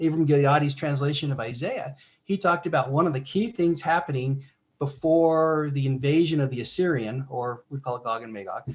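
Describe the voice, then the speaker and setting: A man with a somewhat breathy, fairly high voice at a fairly quick pace. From United States. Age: 60s. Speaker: religious presenter. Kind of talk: discussion Q&A. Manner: halting.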